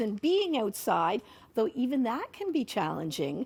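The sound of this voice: A woman at a moderate pace with a slightly mellow tone.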